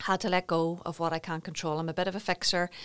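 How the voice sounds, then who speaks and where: A woman with a Northern Irish accent talks at a very fast pace, fairly low in pitch and monotone, with flat intonation. The recording is very clean, with a silent background. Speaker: wellbeing business founder. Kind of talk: interview.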